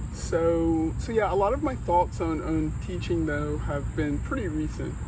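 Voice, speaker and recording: Slow-paced and very deep, a man speaks with an American accent and ordinary pitch variation. Audible room echo and noticeable background noise surround him. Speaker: fitness channel host. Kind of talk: casual interview chat. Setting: outdoors in a park.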